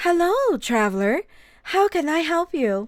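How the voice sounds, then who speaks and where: In a put-on character voice, a female-sounding speaker uses extremely high pitch with very wide swings at a fairly slow pace, on a very clean recording with a silent background. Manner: friendly, welcoming.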